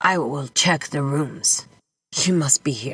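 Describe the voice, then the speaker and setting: A female-sounding, put-on character voice, raspy and low-to-middle in pitch, speaks at a fairly slow pace. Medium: read story. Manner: desperate, insistent.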